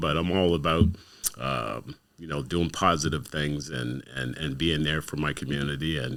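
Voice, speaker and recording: A man speaks with vocal fry and ordinary pitch variation on a very clean recording with a silent background. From Windsor, Ontario, Canada. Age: 60s. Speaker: community activist and youth worker. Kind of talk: casual interview.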